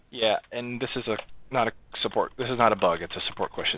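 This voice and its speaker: The sound is dry with no echo, light background noise sits behind it, and the pace is fairly quick. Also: man. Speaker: software project lead; meeting host presenting. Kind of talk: online meeting. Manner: fast. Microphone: video call.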